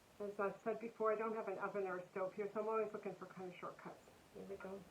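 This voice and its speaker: Noticeable background noise accompanies this woman's monotone, flat intonation. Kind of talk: casual talk to camera.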